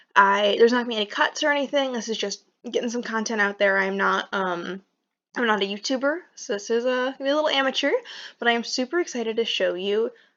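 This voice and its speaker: A woman mumbles at a very fast pace, her fairly high voice showing ordinary pitch variation against a quiet background. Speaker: indie game developer. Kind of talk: casual talk to camera. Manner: hesitant, some mumbling.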